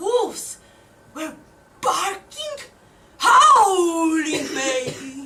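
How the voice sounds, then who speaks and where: Using a put-on character voice, a woman speaks at a very slow pace with an extremely high pitch and long, frequent pauses. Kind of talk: live theatre monologue.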